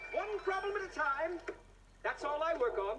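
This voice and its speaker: A squeaky, put-on character voice at an extremely high pitch, moderate in pace, with clear background noise. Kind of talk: children's TV comic acting. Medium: short film. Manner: giggly, whimsical, frequently laughing.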